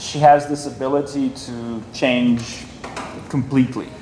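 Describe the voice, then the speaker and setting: Noticeable background noise accompanies a man speaking with a non-native accent. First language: not English. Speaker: filmmaker. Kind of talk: Q&A session with students. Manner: animated.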